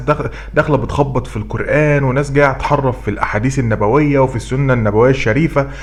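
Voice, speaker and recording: A man with an Egyptian accent talks at a moderate pace amid noticeable background noise. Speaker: YouTube commentator. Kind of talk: commentary vlog. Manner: loud, raised voice; animated.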